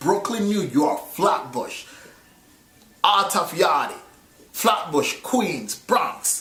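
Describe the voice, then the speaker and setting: Amid noticeable background noise and audible room echo, a man with a Jamaican accent speaks very slowly at a high pitch, with very wide pitch swings and long, frequent pauses. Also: very even loudness. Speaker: movie reviewer. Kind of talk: casual chat. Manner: code-switching between patois and English.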